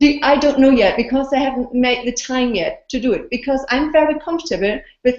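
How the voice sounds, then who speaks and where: At a fairly quick pace, a woman with a non-native accent speaks in a high pitch with ordinary pitch variation. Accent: foreign. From Austria. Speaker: blogger and video interviewer. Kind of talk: casual interview. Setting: video call. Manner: animated.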